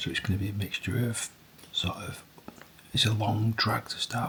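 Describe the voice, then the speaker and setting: A man's medium-pitched voice at a moderate pace, fairly even intonation, over noticeable background noise. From northern England, Tottington near Bury, Greater Manchester. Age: 40s. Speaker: performance coach and amateur ultrarunner vlogger. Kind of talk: casual vlog monologue. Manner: whispering.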